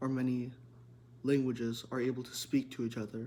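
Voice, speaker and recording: A man speaks at a moderate pace and medium pitch with monotone, flat intonation. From United States. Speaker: student presenter. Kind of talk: class presentation.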